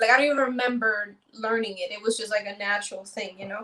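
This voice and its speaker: With a New York accent, a woman speaks at a fairly quick pace with ordinary pitch variation. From New York City (Manhattan), Dominican-born. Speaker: content creator. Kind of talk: casual interview. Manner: fast.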